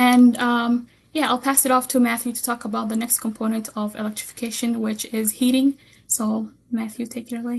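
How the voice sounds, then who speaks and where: A woman's high-pitched voice at a fairly quick pace, with monotone, flat intonation. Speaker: community program coordinator. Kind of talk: webinar presentation. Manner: fast.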